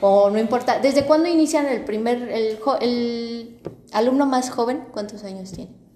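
Noticeable background noise and audible room echo accompany a woman speaking at a high pitch and a moderate pace with ordinary pitch variation. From Mexico City. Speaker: podcast host. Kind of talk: casual chat.

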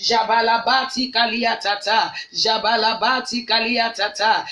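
A woman speaks at a fairly slow pace in a high voice, with noticeable background noise behind her. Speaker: pastor. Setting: online prayer broadcast. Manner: commanding and declarative, issuing prayers as decrees.

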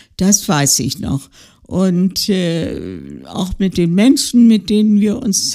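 A dark, mellow tone delivered at a very slow pace. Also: woman. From West Prussia, then Thuringia. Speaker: retiree, interviewee sharing life story. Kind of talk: life-story interview. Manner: halting, many fillers.

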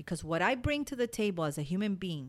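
An animated voice in a Spanish accent with lively intonation, on a very clean recording with a silent background. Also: woman. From Cuba. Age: 40s. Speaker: podcast host. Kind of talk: motivational monologue.

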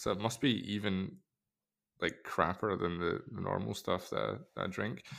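Very deep and low, a man's voice shows vocal fry at a moderate pace. The recording is very clean, its background silent. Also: ordinary pitch variation. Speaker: watch podcast host. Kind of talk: casual chat.

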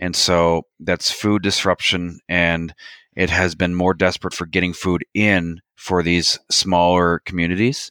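A man with a Maritime Canadian accent speaks in a very deep, low voice with a bright, sharp tone and monotone, flat intonation, in a very clean recording with a silent background. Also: fairly slow pace, dry, close sound with no echo. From Canada, New Brunswick. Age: 30s. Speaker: military historian and woodworker. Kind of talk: interview.

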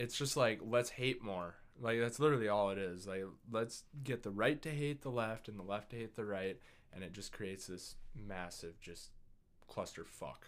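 A man with a plain, everyday voice, fairly low in pitch, at a moderate pace, with ordinary pitch variation and big swings in loudness. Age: 20s. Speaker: podcast guest. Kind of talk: casual chat.

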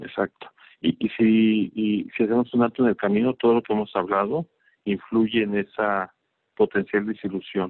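His pitch fairly low, a man speaks with fairly even intonation. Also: moderate pace. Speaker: marketing manager. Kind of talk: interview. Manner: halting, repeats words.

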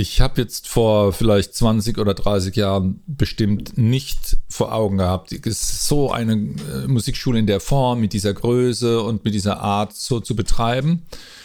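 A man talks at a medium pitch and a fairly slow pace. Noticeable background noise sits behind him. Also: ordinary pitch variation. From Mannheim, southwest Germany. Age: 50s. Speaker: music school director. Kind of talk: casual interview. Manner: halting, with repetitions.

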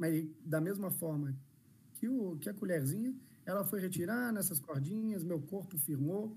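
At a moderate pace, the speech has lively intonation and audible room echo. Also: man. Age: 30s. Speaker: inclusion consultant and speaker. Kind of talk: live-stream interview. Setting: video call.

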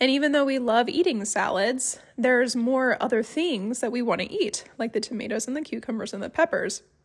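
Fairly quick and with hardly any pauses, a woman speaks in a Midwestern accent at a high pitch with ordinary pitch variation. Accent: general American, Midwestern. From Ohio, US. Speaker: homesteading podcaster. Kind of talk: solo podcast monologue, casual. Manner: conversational, friendly.

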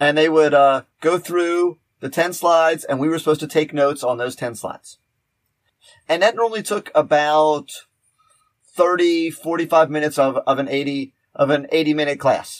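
A man with a normal speaking voice and a fairly high pitch talks at a moderate pace on a very clean recording with a silent background. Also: fairly even intonation. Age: 50s. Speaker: podcast host, teacher. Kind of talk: casual chat.

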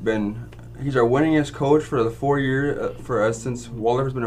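A man speaks with fairly even intonation, and audible echo fills the room. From Grand Forks, North Dakota. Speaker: student podcast host. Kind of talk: casual interview.

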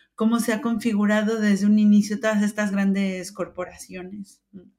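Somewhat breathy, a woman with a fairly high pitch speaks at a moderate pace. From Mexico. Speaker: open innovation expert. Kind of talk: interview.

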